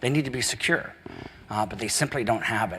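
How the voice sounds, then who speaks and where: A man with an American accent, against noticeable background noise. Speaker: software company president. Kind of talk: conference presentation. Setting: conference breakout session.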